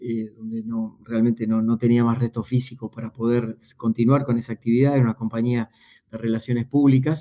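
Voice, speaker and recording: In a Rioplatense accent, a man talks at a moderate pace with a medium pitch and monotone, flat intonation. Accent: Argentine Spanish (rioplatense). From Argentina, small town in Buenos Aires province. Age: 50s. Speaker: executive coach and speaker. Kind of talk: interview conversation.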